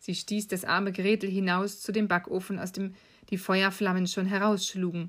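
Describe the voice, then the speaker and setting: A woman speaks at a medium pitch and moderate pace in a monotone, flat intonation. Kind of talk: bedtime story telling.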